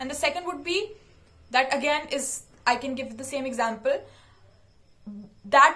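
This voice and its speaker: A woman raises and projects her high-pitched voice. She talks at a moderate pace. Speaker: YouTuber. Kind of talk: casual talk to camera. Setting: sit-down video.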